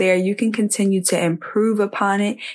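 With an unremarkable speaking voice, a woman talks at a moderate pace and medium pitch, her intonation fairly even against a quiet background. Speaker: podcast host. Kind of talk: solo podcast monologue, motivational. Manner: warm, conversational, faith-inspired.

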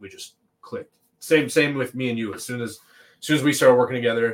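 The voice belongs to a man speaking at medium pitch. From Toronto, Canada. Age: 30s. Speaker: rapper and music producer. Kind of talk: interview.

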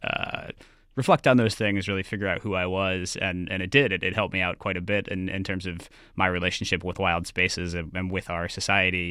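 A man with an American accent has a very deep, low pitch and a bright, sharp tone. His intonation stays fairly even. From US Northeast. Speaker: writer. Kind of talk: radio interview. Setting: remote link.

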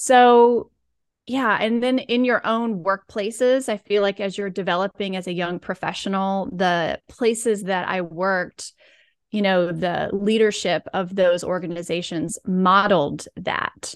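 A woman with an American accent speaks at a fairly slow pace, at a medium pitch with ordinary pitch variation, in a plain, everyday voice. The sound is dry and close with no echo, over a quiet background. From US South (rural Alabama and Georgia). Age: 40s. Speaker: physical therapist and wellness coach. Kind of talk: podcast interview.

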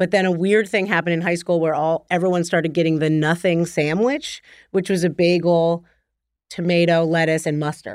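Speaking with an American accent in a plain, everyday voice, a woman talks at a fairly quick pace with fairly low pitch, fairly even intonation, and very even loudness on a very clean recording with a silent background. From New Jersey. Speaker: TV writer and producer. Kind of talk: casual chat.

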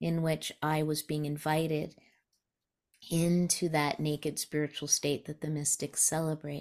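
On a very clean recording with a silent background, the speaker uses a monotone, flat intonation at a fairly slow pace with an American accent. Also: woman. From New Mexico, US (raised from age eleven). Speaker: spiritual teacher and author. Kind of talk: interview conversation.

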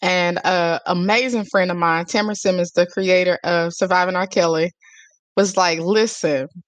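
A woman with an American accent uses a normal speaking voice at a medium pitch, moving at a moderate pace with fairly even intonation. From US small town. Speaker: publicist. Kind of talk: interview.

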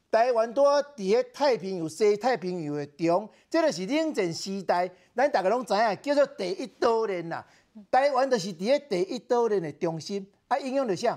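An animated tone moves at a moderate pace. The recording is very clean, with a silent background. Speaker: political commentator. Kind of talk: talk show debate.

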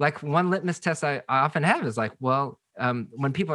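A man with an American accent speaks at a fairly high pitch with lively intonation and a bright, sharp tone. The recording is very clean, with a silent background. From Seattle, US Pacific Northwest. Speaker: pastor and author. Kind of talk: casual interview.

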